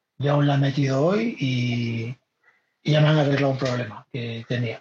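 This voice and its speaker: Somewhat breathy, a man speaks fairly slowly at a medium pitch with fairly even intonation. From Galicia, Spain (Vigo). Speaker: podcast host and community organizer. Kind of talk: casual chat. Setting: video call.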